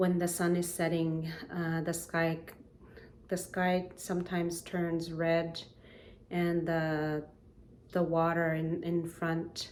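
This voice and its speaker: A woman's fairly low-pitched voice with a Canadian Arctic accent, very slow and monotone with flat intonation, very even in loudness, broken by long, frequent pauses, with audible room echo. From Nunavik, northern Quebec. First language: Inuktitut. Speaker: singer. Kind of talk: spoken introduction to performance. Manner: halting, many fillers.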